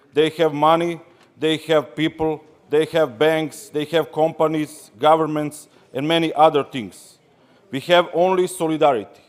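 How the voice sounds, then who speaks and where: This man speaks with a Serbian accent at a fairly high pitch. His pace is moderate and his intonation fairly even. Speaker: trade union delegate. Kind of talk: congress speech.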